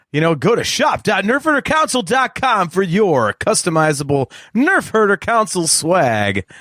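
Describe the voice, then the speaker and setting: A man puts on a resonant, high-pitched character voice with very wide pitch swings at a moderate pace. The very clean recording has a silent background and a dry, close sound with no echo. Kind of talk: promotional announcer delivery.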